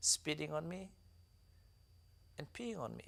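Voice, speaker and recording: A man is speaking. His pace is very slow. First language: Dinka. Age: 30s. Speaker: author and activist. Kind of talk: interview testimony.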